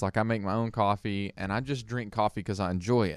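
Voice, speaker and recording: A plain, everyday voice moves at a fairly quick pace over a quiet background. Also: man. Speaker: podcast co-host. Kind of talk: casual chat.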